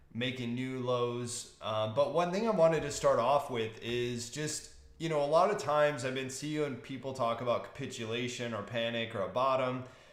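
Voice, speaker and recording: There is audible room echo as a man speaks at a moderate pace, his medium pitch showing ordinary variation. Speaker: stock market commentator. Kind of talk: market outlook talk. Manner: casual with fillers.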